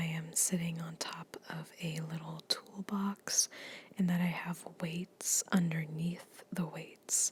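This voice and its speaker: A soft-spoken woman talks at a very slow pace in a fairly low, somewhat breathy voice with monotone, flat intonation and a dry, close sound with no echo. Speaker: fitness ASMR creator. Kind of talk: casual talk to camera, workout voiceover. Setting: home gym, recorded on a tablet.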